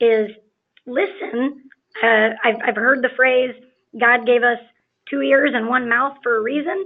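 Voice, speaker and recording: High-pitched woman at a fairly slow pace, ordinary pitch variation, long, frequent pauses. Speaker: contractor marketing specialist. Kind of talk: webinar presentation. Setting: online webinar.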